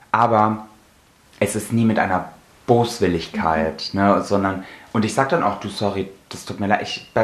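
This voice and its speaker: The speech moves at a moderate pace with fairly even intonation, and noticeable background noise runs underneath. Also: man. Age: 20s. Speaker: podcast co-host. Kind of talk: casual chat.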